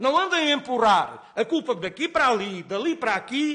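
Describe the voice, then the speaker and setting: A man speaks in a raised, projected voice with very wide pitch swings. There is noticeable background noise. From Portugal, Alentejo. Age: 60s. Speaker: nurse and farmer. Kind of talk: parliamentary hearing testimony. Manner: emotional, halting.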